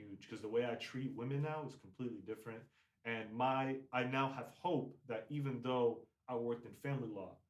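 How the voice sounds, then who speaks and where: A man speaks in a plain, everyday voice at a moderate pace with fairly even intonation. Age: 20s. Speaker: semi-professional soccer player. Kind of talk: casual chat. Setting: podcast.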